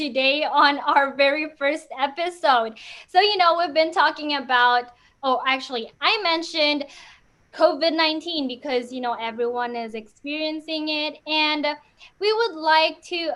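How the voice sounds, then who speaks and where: Loud and energetic, a woman speaks at a high pitch with a bright, sharp tone and a fairly slow pace. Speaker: student podcast host. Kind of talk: casual podcast chat. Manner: hyper, energetic.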